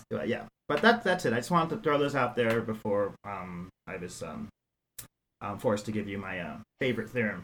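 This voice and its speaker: In a normal speaking voice with an American accent, a man talks at a fairly quick pace and medium pitch, his intonation lively and the sound dry and close with no echo. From New York City. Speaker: math professor. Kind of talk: casual interview.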